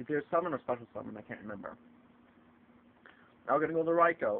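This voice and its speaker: Pitched fairly high, a man speaks at a very fast pace. His loudness swings widely, broken by long, frequent pauses. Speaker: card game video maker. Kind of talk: tutorial. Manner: halting; casual.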